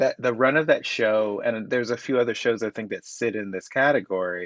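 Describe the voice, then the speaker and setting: A man at a medium pitch with a slight Southern US accent, over a quiet background. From US South. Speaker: playwright. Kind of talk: casual chat.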